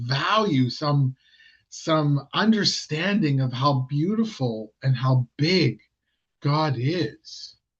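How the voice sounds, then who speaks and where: A man speaks at a very slow pace with lively intonation. His voice is fairly high and somewhat breathy. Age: 60s. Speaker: lay preacher. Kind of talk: sermon. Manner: halting.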